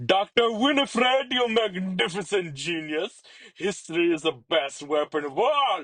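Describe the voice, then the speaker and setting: Putting on a character voice, a man drawls at a moderate pace in a high pitch, with very wide pitch swings. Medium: read story. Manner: drawling, flamboyant, playful.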